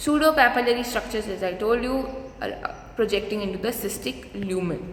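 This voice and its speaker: A woman's voice at a moderate pace, with audible room echo and noticeable background noise. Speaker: dentistry lecturer. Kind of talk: lecture.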